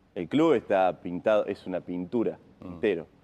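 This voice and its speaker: A man speaks with a fairly low pitch in a normal speaking voice. His pace is moderate. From Argentina, Río Tercero, Córdoba. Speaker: wheelchair tennis player. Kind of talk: casual interview.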